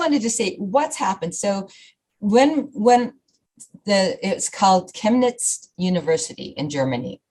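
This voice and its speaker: With very wide pitch swings, a woman speaks in a somewhat breathy, medium-pitched voice. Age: 60s. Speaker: fitness program founder. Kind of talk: radio interview.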